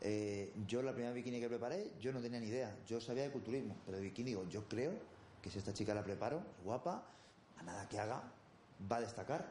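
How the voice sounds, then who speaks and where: Speaking at a very fast pace with a medium pitch and ordinary pitch variation, a man is heard over noticeable background noise and audible room echo. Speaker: bodybuilding coach. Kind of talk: interview.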